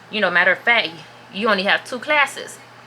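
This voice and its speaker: A woman talks with noticeable noise in the background. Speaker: vlogger. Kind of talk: storytime vlog. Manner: casual, chatty.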